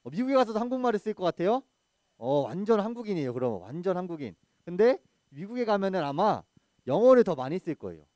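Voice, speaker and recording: The recording of this man is dry and close, with no echo. His voice is high with a dark, mellow tone, moving at a very fast pace with very wide pitch swings. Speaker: junior pastor preaching to children. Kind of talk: children's sermon. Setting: church service, streamed on video call. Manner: engaging, asks the audience questions.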